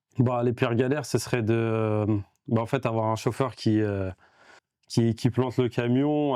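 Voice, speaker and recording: A man's fairly low, dark and mellow voice, fairly even in intonation, at a fairly slow pace against a quiet background. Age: 20s. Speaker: entrepreneur. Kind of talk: casual interview. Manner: halting.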